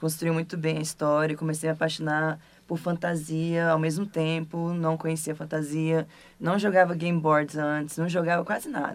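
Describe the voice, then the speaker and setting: At a moderate pace, the speech comes out monotone, with flat intonation. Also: woman. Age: 20s. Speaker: role-playing gamer. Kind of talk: casual chat.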